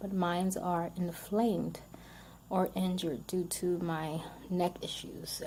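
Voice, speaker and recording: Somewhat breathy air runs through the voice. A dark, mellow tone colors it. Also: woman. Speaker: vlogger sharing health experience. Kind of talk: casual personal testimony to camera. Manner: stuttering, word-finding pauses; hesitant, many fillers.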